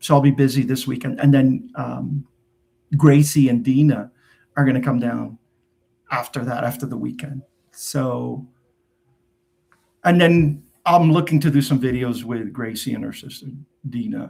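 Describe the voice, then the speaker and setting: A man speaks at medium pitch in a dark, mellow tone that is somewhat breathy. His pace is fairly slow, with long, frequent pauses. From New Jersey, US (immigrant from Portugal at 9). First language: Portuguese. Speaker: YouTuber and tax preparer. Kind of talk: live stream Q&A, casual chat. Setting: live stream. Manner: casual, many fillers and restarts.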